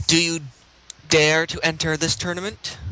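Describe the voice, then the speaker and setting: A put-on character voice at a middle pitch moves at a moderate pace with monotone, flat intonation. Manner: magical, commanding.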